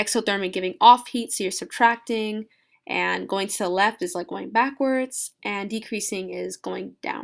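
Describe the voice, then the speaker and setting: A woman speaks at a fairly slow pace with a medium pitch. The recording is very clean, with a silent background. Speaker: student making a tutorial video. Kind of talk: tutorial. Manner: halting, many fillers; casual, informal.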